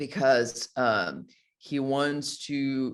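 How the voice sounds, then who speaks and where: Over a quiet background, a man with a Brazilian accent speaks at a medium pitch. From Brazil, Rio de Janeiro. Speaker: actor. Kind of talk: interview. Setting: video call. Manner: halting, many repetitions.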